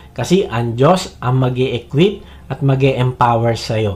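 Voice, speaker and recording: A man speaks in a Filipino accent at a moderate pace. His medium-pitched voice is somewhat breathy. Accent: Filipino-accented English, Tagalog speaker. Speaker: preacher. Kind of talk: sermon. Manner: earnest, persuasive, direct appeals to the listener; steady, teaching pace with Bible quotations.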